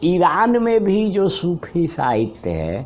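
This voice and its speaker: The man's high-pitched voice has lively intonation, heard over noticeable background noise. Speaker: literary critic, professor. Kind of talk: interview answer.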